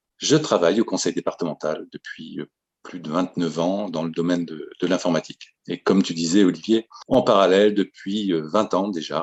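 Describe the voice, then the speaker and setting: A man with a very deep, low voice, ordinary pitch variation and a moderate pace. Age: 50s. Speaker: local mayor and election candidate. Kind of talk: self-introduction.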